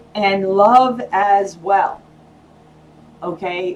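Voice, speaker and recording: A woman at a medium pitch, animated in tone and lively in intonation, over noticeable background noise. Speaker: tarot reader. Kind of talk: tarot reading. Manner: loud.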